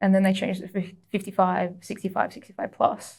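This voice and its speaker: A woman speaks at a fairly quick pace with an Australian accent. Her voice has vocal fry. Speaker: jiu-jitsu athlete. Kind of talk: casual chat.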